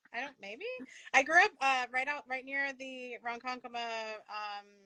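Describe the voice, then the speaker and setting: In an American accent, a woman with a high pitch uses a raised, projected voice that is bright, sharp and animated, with ordinary pitch variation and big swings in loudness. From New York, Long Island. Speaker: veterinary leadership podcast host. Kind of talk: live interview chat. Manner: fast.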